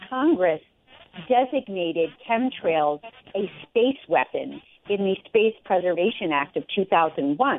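Her pitch medium yet swinging very widely, a woman talks at a very slow pace. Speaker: guest commentator. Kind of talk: interview discussion.

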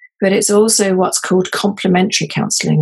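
The speaker has a British accent. The voice is somewhat breathy. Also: woman. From grew up in many countries (third culture kid). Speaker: counselling trainer. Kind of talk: interview.

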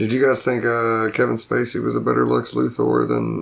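A man talks at a fairly quick pace. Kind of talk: casual chat. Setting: studio.

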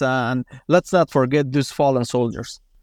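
With an Afghan accent, a man talks at a moderate pace against a quiet background, the sound dry and close with no echo. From Afghanistan. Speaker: former special forces commander and author. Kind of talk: casual interview. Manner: halting, filler-heavy.

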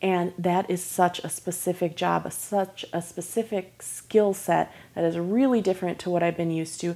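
A woman with a plain, everyday voice, an American accent and a fairly low pitch, on a very clean recording with a silent background. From Michigan. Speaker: professional violinist. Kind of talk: casual interview.

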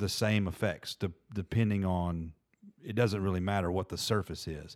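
A man's fairly low voice at a moderate pace, in a very clean recording with a silent background. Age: 40s. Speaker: golf course superintendent and podcast host. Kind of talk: casual chat. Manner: halting.

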